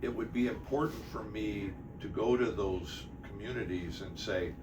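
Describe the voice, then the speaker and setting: Noticeable background noise and audible room echo accompany a man speaking with an American accent at a moderate rate. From Detroit, Michigan. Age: 60s. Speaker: city mayor. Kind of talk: interview.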